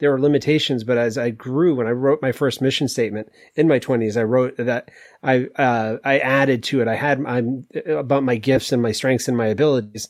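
In an unremarkable speaking voice at medium pitch, a man talks at a fairly quick pace with fairly even intonation and very even loudness against a quiet background. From US Northeast, Maine. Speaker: executive coach and author. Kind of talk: casual interview.

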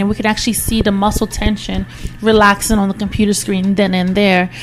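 A woman's fairly quick speech over background music. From Nigeria. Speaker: physical therapist. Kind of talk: interview, explaining clinical practice.

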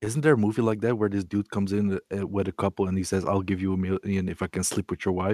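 Speaking at a very fast pace with hardly any pauses, a man with a Dutch accent has a fairly low pitch, a dark, mellow tone and fairly even intonation, his dry, close sound carrying no echo. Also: very clean recording, silent background. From Netherlands. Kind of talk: casual chat.

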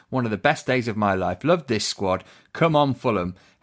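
This man has an unremarkable speaking voice and talks at a moderate pace. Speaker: podcast host. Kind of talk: podcast presenting.

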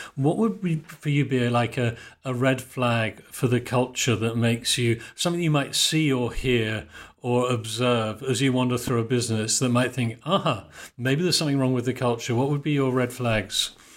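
A man speaks at a moderate pace in an ordinary speaking voice, his pitch medium. His loudness stays very even, with ordinary pitch variation. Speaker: podcast host. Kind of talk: interview conversation.

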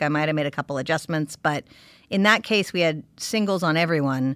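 Speech comes at a very fast pace with an American accent. The recording is very clean, with a silent background. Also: woman. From California. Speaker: TV director. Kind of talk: podcast interview. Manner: casual and animated.

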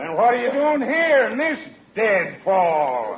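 Over audible room echo, a man does a put-on character voice at a high pitch and slow pace with big pitch swings.

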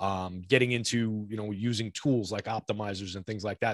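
In a normal speaking voice, a man with an American accent talks at a fairly low pitch with ordinary pitch variation, and the sound is dry and close with no echo. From New York / North Jersey area. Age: 40s. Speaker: daily fantasy sports player and analyst. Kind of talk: casual interview. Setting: video call.

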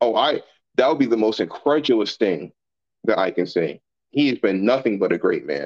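A man's voice with vocal fry comes through with a dry, close sound and no echo. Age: 20s. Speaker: military service member. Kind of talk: casual podcast discussion.

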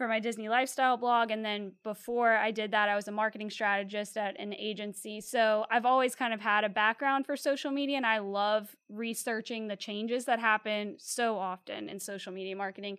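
Speaking at a fairly quick pace with a Louisiana accent, a woman keeps her fairly high pitch on a fairly even intonation. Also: hardly any pauses. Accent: Louisiana Southern US. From Louisiana (Slidell, North Shore). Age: 20s. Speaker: clothing brand co-founder. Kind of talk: casual interview.

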